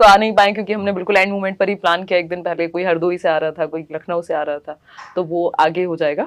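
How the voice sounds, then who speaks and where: This is a woman's voice at a medium pitch. Its pitch variation is ordinary. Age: 20s. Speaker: teacher exam coach, interviewer. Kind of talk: casual group interview. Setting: in a room with students. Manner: animated.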